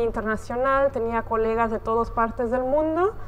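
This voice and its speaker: At a moderate pace, a woman talks with fairly even intonation and a fairly high pitch. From Belgium, childhood years in Barcelona. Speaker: steel company export staff. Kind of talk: interview.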